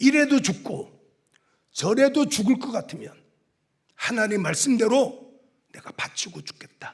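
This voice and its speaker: Speaking at a very slow pace with long, frequent pauses, a man uses an extremely high pitch, lively intonation and big swings in loudness. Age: 60s. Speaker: pastor, revival preacher. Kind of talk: sermon. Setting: church. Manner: animated.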